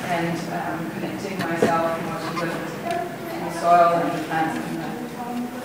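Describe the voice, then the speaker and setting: Through loud background noise and audible room echo, a woman speaks with ordinary pitch variation. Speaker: presenter. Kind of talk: lecture. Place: classroom. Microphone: camera far.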